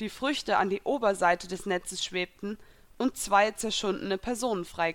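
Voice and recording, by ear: The clip is reading aloud in a natural voice. Pitch varies in an ordinary way.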